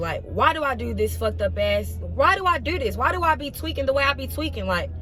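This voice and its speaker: Music can be heard in the background. A woman speaks at a fairly quick pace. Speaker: vlogger. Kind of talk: motivational talk to camera. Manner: fast; animated.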